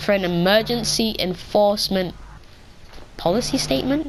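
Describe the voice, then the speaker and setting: Noticeable background noise sits behind a woman speaking at medium pitch and a moderate pace. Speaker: YouTuber explaining policy. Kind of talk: explainer video. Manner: monotone; casual, filler-heavy.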